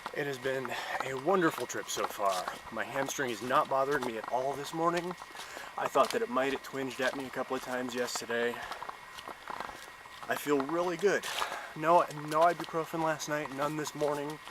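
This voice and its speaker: Fairly high male voice at a moderate pace, with ordinary pitch variation, long, frequent pauses and noticeable background noise. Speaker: hiker vlogger. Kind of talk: trail vlog. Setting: outdoors.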